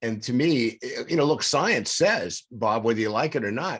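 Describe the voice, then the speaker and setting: A man with a normal speaking voice talks at a moderate pace in a medium pitch, his intonation lively. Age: 60s. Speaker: podcast co-host, recovery coach. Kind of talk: casual interview chat. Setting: studio.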